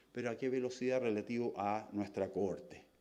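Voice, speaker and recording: A man's dark, mellow tone with audible room echo. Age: 60s. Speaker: scientist. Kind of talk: lecture.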